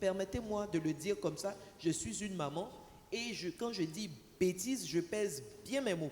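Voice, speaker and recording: A woman speaks fairly slowly, her pitch swinging very widely. There is audible room echo and noticeable background noise. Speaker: panelist representing telecom operators. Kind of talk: conference panel talk. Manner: deliberately slow.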